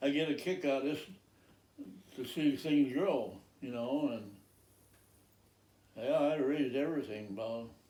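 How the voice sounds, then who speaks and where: A man's fairly high-pitched, dark, mellow voice at a fairly slow pace, with long, frequent pauses and audible room echo. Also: ordinary pitch variation. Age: 90s. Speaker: farmer. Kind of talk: casual chat. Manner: halting.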